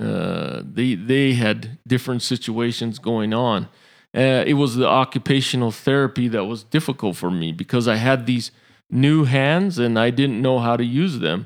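A man speaks at a medium pitch with an American accent, in an ordinary speaking voice. His pitch varies in an ordinary way, and the recording is very clean with a silent background. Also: moderate pace. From Utah, Samoan family. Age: 30s. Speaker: former power lineman, injury survivor. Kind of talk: interview testimony.

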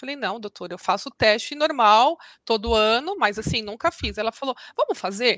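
A woman with an unremarkable speaking voice talks at a moderate pace, fairly high in pitch with lively intonation. The background is quiet, and the sound is dry and close with no echo. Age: 40s. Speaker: lawyer and mother of a celiac child. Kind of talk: testimony interview.

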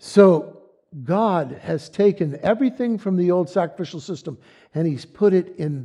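A man speaks at a fairly slow pace in a high-pitched, dark, mellow voice with lively intonation and long, frequent pauses. The recording is very clean, with a silent background. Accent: American. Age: 70s. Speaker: lay preacher. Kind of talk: sermon. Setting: church.

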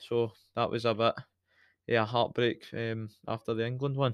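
A man with a strong Scottish accent, medium pitch and moderate pace, dry and close with no echo, on a very clean recording over a silent background. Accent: Scottish, fairly broad. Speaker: podcast host, football fan. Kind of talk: casual chat, football podcast banter. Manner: animated, jokey.

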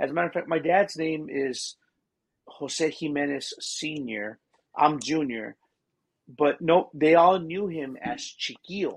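A man with an American accent has an ordinary speaking voice, a fairly high pitch and ordinary pitch variation, talking at a fairly slow pace. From Texas, Seguin. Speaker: professional drummer. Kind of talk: casual interview. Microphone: connection freezes.

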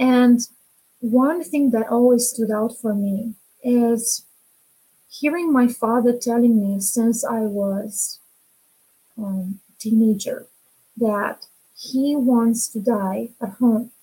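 In a Romanian accent, a woman talks at a very slow pace and a fairly high pitch, her dark, mellow tone kept in fairly even intonation with long, frequent pauses. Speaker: women's empowerment coach. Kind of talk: interview.

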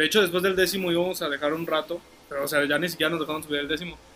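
Against noticeable background noise, a man talks at a very fast pace in a fairly high pitch with fairly even intonation. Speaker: podcast co-host. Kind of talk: casual chat. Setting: outdoors.

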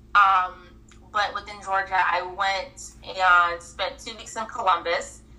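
Noticeable background noise behind a woman with a medium pitch. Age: 30s. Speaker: mental health coach. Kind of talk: personal testimony interview.

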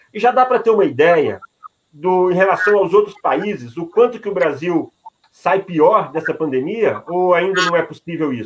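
Here a man talks in a high pitch. His pace is moderate. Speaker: journalist co-host. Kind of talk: interview.

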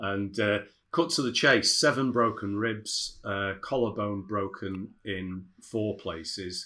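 A man's fairly low voice with a British accent, bright and sharp in tone, ordinary pitch variation, very slow pace, on a very clean recording with a silent background. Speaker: dental business consultant. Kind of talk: casual interview chat.

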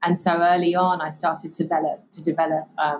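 A woman speaks at a fairly quick pace. Her pitch is fairly low and her intonation fairly even. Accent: English. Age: 40s. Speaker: author and purpose coach. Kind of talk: interview.

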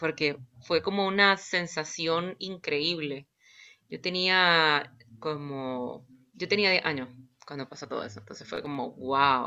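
Speaking at a very slow pace, a woman with a very deep, low voice shows ordinary pitch variation and big swings in loudness. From Nicaragua, Managua. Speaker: violinist and composer. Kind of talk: interview. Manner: hesitant, many fillers.

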